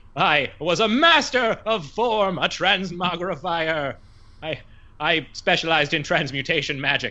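A man's put-on character voice at a moderate pace against a quiet background. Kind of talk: fantasy tabletop character voice. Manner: pompous, grandiose.

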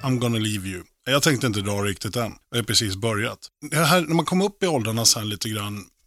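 On a very clean recording with a silent background, a man with an unremarkable speaking voice talks at a medium pitch and a fairly quick pace. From Sweden, Oxelösund, Sörmland. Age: 40s. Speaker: rock drummer and guest radio presenter. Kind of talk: personal radio monologue with music. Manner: casual, slangy.

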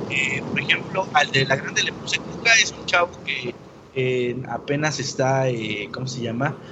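A man at a fairly slow pace, with ordinary pitch variation and noticeable background noise. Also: medium pitch for a man. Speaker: podcast network founder. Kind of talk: casual interview.

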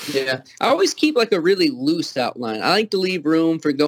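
The sound is close and dry, without any echo. A man is talking very fast. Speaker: author and musician. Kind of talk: casual chat interview. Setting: video call over Skype.

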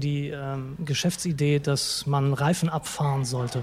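A man's fairly high voice against noticeable background noise. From Hamburg, northern Germany. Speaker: food blogger. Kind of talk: interview. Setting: restaurant. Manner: hesitant, many fillers.

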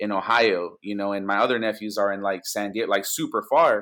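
A man speaks at a fairly quick pace in a Spanish accent. The recording is very clean, with a silent background. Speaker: music producer. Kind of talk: casual interview chat. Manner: conversational, relaxed.

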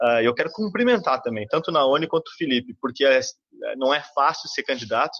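A man's bright, sharp voice at a fairly high pitch, fairly quick, with ordinary pitch variation and a dry, close sound with no echo. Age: 20s. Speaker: city councilor-elect. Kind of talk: webinar panel discussion.

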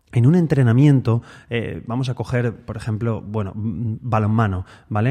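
A man's medium-pitched voice, dark and mellow in tone, moves at a fairly slow pace. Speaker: guitar teacher and podcast host. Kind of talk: solo podcast monologue. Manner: tends to speed up when excited; trying to speak calmly and relaxed.

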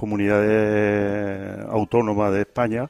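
A fairly low-pitched man at a very slow pace. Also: dry, close sound with no echo. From Quintana de la Serena, Extremadura. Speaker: emigrant association representative. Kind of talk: radio interview. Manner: halting.

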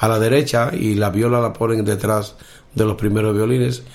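A man speaks at a fairly quick pace in a medium pitch, his intonation flat and monotone, with audible room echo. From Dominican Republic, Cibao valley (north). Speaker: blind musician and orchestra conductor. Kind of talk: interview.

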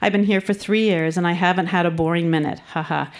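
Very clean with a silent background, the recording has a woman with an ordinary speaking voice and a Canadian accent talking fairly quickly at a fairly low pitch, with ordinary pitch variation. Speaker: social worker. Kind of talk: reading aloud. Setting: stage with audience.

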